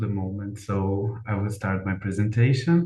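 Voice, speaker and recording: With a Brazilian Portuguese accent, a man speaks at a fairly slow pace in a fairly low, somewhat breathy voice of dark, mellow tone, with audible room echo. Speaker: academic researcher. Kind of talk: conference presentation. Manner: halting.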